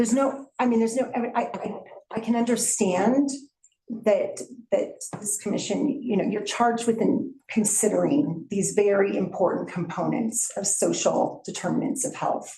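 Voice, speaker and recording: Audible room echo surrounds this woman's fairly high-pitched voice. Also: ordinary pitch variation, moderate pace. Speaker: toxicologist. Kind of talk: public testimony. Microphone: speaking without the mic on.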